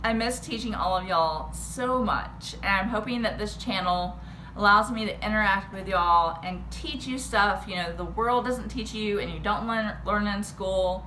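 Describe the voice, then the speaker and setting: A woman speaks with a slight Texan accent and hardly any pauses. Noticeable background noise and audible room echo are present. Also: moderate pace. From Texas. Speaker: history teacher. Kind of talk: casual history rant to camera.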